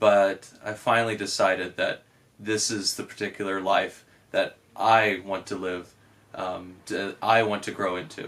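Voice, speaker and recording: Recorded very cleanly with a silent background, a man speaks at a fairly slow pace in a monotone, flat intonation. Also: fairly low pitch for a man. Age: young. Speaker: Franciscan friar. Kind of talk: testimony.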